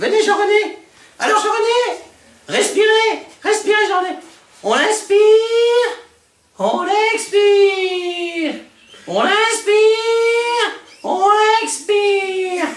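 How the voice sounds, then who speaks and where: Putting on a character voice, a woman speaks at an extremely high pitch with very even loudness and fairly even intonation, at a very slow pace with long, frequent pauses and a slight echo. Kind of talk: comic overacting. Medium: comedy sketch. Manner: brash, comic overacting.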